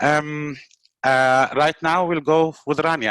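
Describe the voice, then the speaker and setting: A man speaks with an Arabic accent at a fairly high pitch, with ordinary pitch variation. The sound is dry and close, with no echo. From Palestinian refugee camp in Lebanon. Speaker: webinar host, nonprofit worker. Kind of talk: webinar introduction. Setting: video call webinar.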